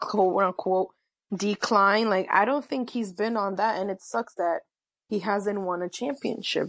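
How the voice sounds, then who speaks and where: An ordinary speaking voice with an American accent, over a quiet background. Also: woman. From New York City. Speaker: sports writer. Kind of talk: casual interview.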